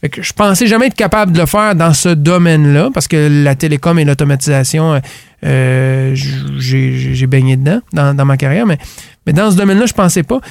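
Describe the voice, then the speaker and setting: A man with a fairly high voice talks at a moderate pace, his pitch varying in an ordinary way. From Quebec, Gaspésie. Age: 40s. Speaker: business owner. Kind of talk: interview. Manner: halting.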